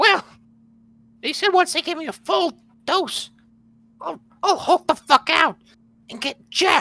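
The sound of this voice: At a moderate pace, a put-on character voice with an extremely high pitch speaks with long, frequent pauses.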